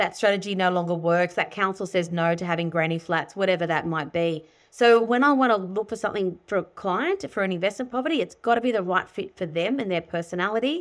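With an Australian accent, a woman talks at a very fast pace and medium pitch, with hardly any pauses and ordinary pitch variation, on a very clean recording with a silent background. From Sydney, Australia. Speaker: buyer's agent and property educator. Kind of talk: interview.

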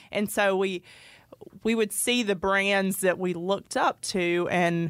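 A woman talks with a Georgia accent. The recording is very clean, with a silent background. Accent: US Southern (Georgia). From Northeast Georgia, Royston. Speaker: clothing brand owner. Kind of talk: casual interview.

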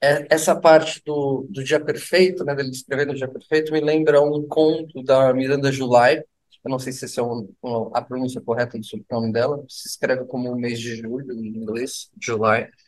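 A man at a moderate pace and medium pitch, ordinary pitch variation, with big swings in loudness. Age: 40s. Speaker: rock musician, singer and guitarist. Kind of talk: casual chat.

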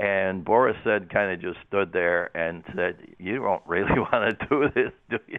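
A man speaks in a plain, everyday voice, pitched fairly low. His pitch varies in an ordinary way, and his pace is moderate. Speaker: motorsports commentator. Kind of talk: casual sports talk on radio. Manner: rambling, repeats words, chatty.

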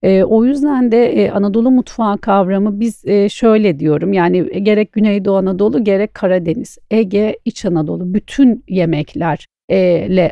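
The delivery moves at a moderate pace with lively intonation. It is a plain, everyday voice. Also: woman. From Istanbul, Turkey. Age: 40s. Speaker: chef. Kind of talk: interview.

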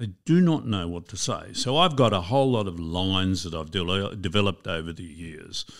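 A man with an Australian accent and a very deep, low pitch talks at a moderate pace with hardly any pauses, lively intonation and big swings in loudness. The recording is very clean, with a silent background. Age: 70s. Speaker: retirement coach and former financial advisor. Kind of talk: interview.

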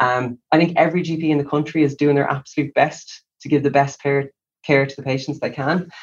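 A somewhat breathy man with an Irish accent, a fairly high pitch, a fairly quick pace and monotone, flat intonation. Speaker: doctor. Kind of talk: interview. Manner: calm.

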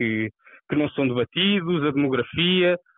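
A man is speaking. His pace is moderate. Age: 20s. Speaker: youth party leader candidate. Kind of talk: interview. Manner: halting.

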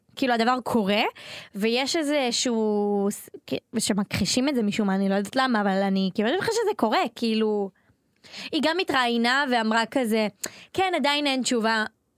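A woman with a fairly high pitch at a moderate pace, with long, frequent pauses. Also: lively intonation, very even loudness. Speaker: entertainment podcast co-host. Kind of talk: casual chat.

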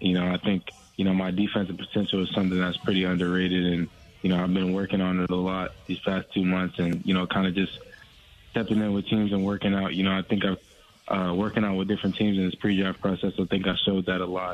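A man's low-pitched voice with an American accent, fairly quick in pace, with little pitch movement.

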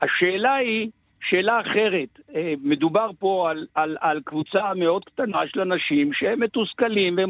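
Speaking with lively intonation at a moderate pace, a man has a high pitch. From Israel. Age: 60s. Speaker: rabbi, head of pre-military yeshiva. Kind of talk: radio interview.

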